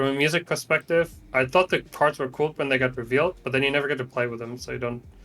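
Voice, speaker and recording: Over music in the background, a man at medium pitch speaks at a fairly quick pace with fairly even intonation. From Germany. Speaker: Hearthstone player and streamer. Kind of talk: casual interview chat.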